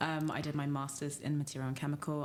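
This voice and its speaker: Using a London accent, a woman speaks with a very deep, low pitch and fairly even intonation. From London, England. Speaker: startup co-founder, material scientist. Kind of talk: podcast interview.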